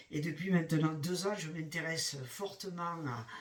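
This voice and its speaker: A man is speaking. His pace is fairly slow. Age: 60s. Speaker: retiree hiking vlogger. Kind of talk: casual vlog monologue. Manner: halting, many hesitations.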